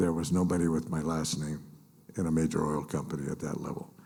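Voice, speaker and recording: An American accent marks a man's very deep, low, dark and mellow voice, delivered flat and monotone at a moderate pace with audible room echo. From US West Coast (East Los Angeles). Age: 80s+. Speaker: business association leader and mayor. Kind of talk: conference speech. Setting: stage with audience. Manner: halting, many fillers.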